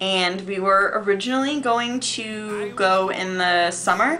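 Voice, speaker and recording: Music plays in the background as a woman speaks at a very slow pace and medium pitch, with ordinary pitch variation and audible room echo. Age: 20s. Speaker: vlogger, theater student. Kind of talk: casual vlog storytelling. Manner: chatty, filler-heavy.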